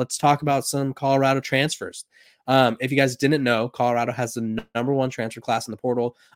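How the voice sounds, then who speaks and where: A man's normal speaking voice at medium pitch and a fairly quick pace, the sound dry and close with no echo. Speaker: sports podcast host. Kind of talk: solo podcast monologue about college football. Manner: casual, conversational, with filler words.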